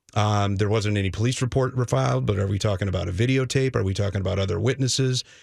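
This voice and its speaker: A man's somewhat breathy, fairly low voice at a very fast pace with ordinary pitch variation, on a very clean recording with a silent background. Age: 40s. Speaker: sports journalist. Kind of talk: sports talk radio. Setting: radio studio.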